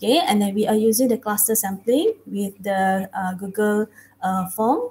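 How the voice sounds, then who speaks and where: Over light background noise, a woman speaks at a moderate pace, somewhat breathy with a dark, mellow tone. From Malaysia. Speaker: academic researcher; conference presenter. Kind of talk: conference presentation. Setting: video call. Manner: halting. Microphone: headset.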